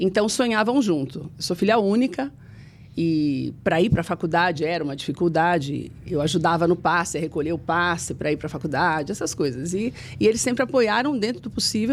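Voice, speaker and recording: A woman's fairly low voice, an unremarkable speaking voice, at a moderate pace with lively intonation, on a very clean recording with a silent background. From Brazil, São Paulo metro area (Mauá). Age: 50s. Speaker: TV journalist. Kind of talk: interview testimony.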